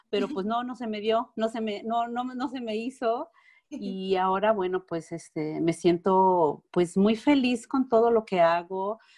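A woman with a Mexican accent, fairly high in pitch, with a dark, mellow tone, ordinary pitch variation and a fairly slow pace. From Mexico. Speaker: alternative therapist. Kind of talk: interview.

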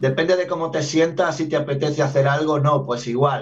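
A man with a plain, everyday voice, fairly high pitch and a fairly quick pace. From Andalusia, Granada (southern Spain). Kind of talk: radio interview.

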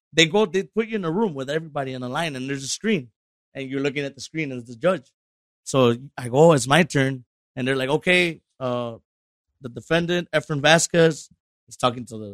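A man's fairly high voice with an American accent, an unremarkable speaking voice at a fairly quick pace, ordinary pitch variation, and a dry, close sound with no echo. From Chicago area, Illinois. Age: 30s. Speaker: musician. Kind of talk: casual chat.

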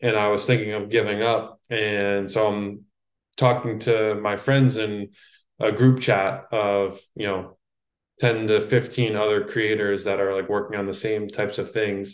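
A man speaks at a fairly slow pace in a fairly low pitch, with monotone, flat intonation. The background stays quiet. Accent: American. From New York City. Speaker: copywriter and course creator. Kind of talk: casual interview chat. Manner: slow talker.

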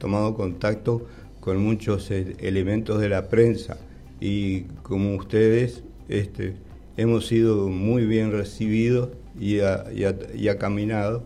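A man speaks at a very slow pace in a fairly low pitch. His intonation stays fairly even, and the room echo is audible. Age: 80s+. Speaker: Parkinson's patient. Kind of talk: radio interview. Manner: halting.

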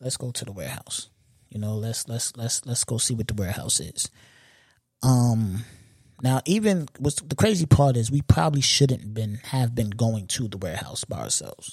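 In a New York accent, a man talks at a moderate pace, somewhat breathy, with ordinary pitch variation and big swings in loudness. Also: medium pitch for a man. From Long Island, New York. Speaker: podcast host. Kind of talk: casual monologue. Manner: repetitive.

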